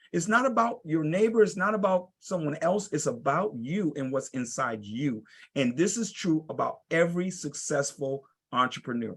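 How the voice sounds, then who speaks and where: A man speaks with a passionate tone at a fairly high pitch. His pitch swings very widely at a moderate pace. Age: 60s. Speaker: entrepreneur and teacher, blind panelist. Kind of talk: panel discussion. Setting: video call. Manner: emphatic, passionate.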